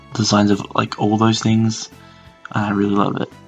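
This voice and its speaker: Music plays in the background as a man talks at a fairly quick pace. His pitch is fairly low. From Australia. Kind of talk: casual reaction video talk. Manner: whispered.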